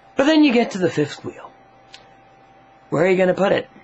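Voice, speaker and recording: A man talks in a fairly high pitch. Noticeable background noise sits behind him. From Sweden. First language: Swedish. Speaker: comedy vlogger. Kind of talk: comedic rant to camera. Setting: home video on camera tripod.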